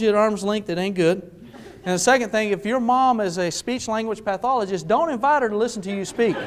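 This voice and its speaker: A man's high-pitched, animated speech in an American accent, with ordinary pitch variation and noticeable background noise. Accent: West Texas drawl, largely trained away. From West Texas / eastern New Mexico. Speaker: motivational speaker. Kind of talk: keynote speech to live audience. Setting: stage with audience. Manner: animated, storytelling.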